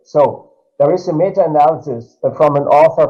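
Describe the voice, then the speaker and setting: A man speaks at a fairly high pitch with a German accent. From Germany. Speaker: cardiology professor. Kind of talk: panel discussion. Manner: halting.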